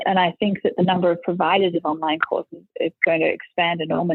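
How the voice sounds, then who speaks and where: A woman is speaking. She has an Australian accent. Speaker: school leader. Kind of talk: podcast interview answer.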